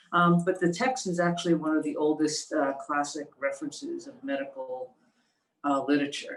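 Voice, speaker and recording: A woman at a moderate pace. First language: non-Mandarin Chinese dialect. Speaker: workshop presenter. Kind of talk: talk with reading aloud. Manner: halting.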